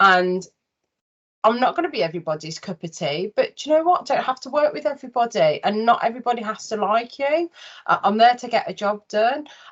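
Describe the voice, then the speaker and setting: A fairly quick woman with a Birmingham accent, fairly high in pitch, with very wide pitch swings and big swings in loudness. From Birmingham, England. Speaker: interviewer, recruitment business owner. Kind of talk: interview conversation.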